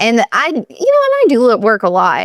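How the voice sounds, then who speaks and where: A woman speaks with a Southern US accent, and the sound is dry and close with no echo. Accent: Southern US accent picked up. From Pennsylvania, US. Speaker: chiropractor and business coach. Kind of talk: interview.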